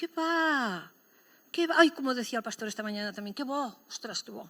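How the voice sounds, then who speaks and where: In a Catalan accent, the voice has very wide pitch swings and an animated tone, with a dry, close sound, no echo, and a very clean recording over a silent background. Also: woman. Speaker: pastor. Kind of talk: sermon.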